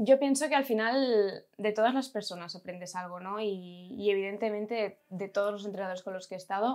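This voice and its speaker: At a moderate pace and with ordinary pitch variation, a woman talks over a quiet background. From Catalonia, Spain. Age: 20s. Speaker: amateur basketball player. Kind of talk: interview. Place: office.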